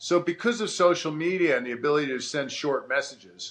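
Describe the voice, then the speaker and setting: With an American accent, a man speaks at a moderate pace in a fairly high pitch, his pitch varying in an ordinary way. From New York City, with three childhood years in Sydney. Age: 60s. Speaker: former rugby player and business founder. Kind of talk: casual interview chat. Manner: halting, many repeated words.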